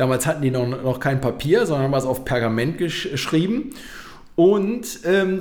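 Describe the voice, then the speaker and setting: A man speaks at a fairly high pitch with very wide pitch swings. Audible room echo surrounds his voice. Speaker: podcast co-host. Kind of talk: casual chat. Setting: home studio.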